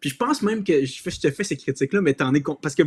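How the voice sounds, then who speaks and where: Rattling along at a very fast pace, a man speaks with lively intonation. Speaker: guest. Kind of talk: casual conversation. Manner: hesitant, many repetitions and fillers.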